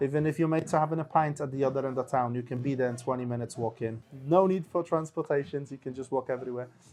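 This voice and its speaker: Over background music, a man with a fairly high pitch talks very fast with fairly even intonation. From Poland. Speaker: local pub-goer. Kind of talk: casual chat.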